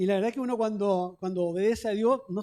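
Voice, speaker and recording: The speaker, with a Chilean accent, talks at a fairly quick pace. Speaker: pastor. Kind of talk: sermon. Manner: fast.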